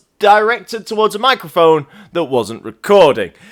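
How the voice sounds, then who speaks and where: In an English accent, a high-pitched man speaks with lively intonation. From England. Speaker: gaming commentator. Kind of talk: casual game review commentary. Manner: ad-libbed, improvised.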